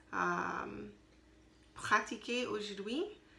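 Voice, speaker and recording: A woman speaks at a very slow pace. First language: not French (learner) (speaking French). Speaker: language learner video diarist. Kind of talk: spoken practice diary. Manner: halting, many hesitations.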